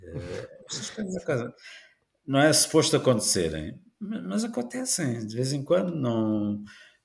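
Speaking at a very slow pace, a man with a medium-pitched, somewhat breathy voice makes very wide pitch swings. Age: 60s. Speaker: motorsport journalist and commentator. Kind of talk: podcast interview. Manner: halting, many repetitions.

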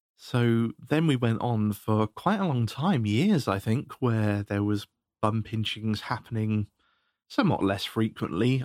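A man speaks at a fairly slow pace. The recording is very clean, with a silent background and a dry, close sound with no echo. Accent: British. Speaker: podcast host. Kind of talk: recorded story narration.

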